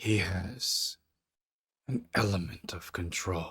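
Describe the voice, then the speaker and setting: A man puts on a raspy character voice, pitched fairly low. He speaks at a very slow pace. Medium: actual play. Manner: coaxing and sinister.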